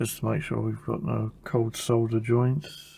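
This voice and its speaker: A man with an American accent speaks at a very slow pace, his medium-pitched voice somewhat breathy and his intonation fairly even. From Caribbean, British parents. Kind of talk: tutorial. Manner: casual, thinking aloud.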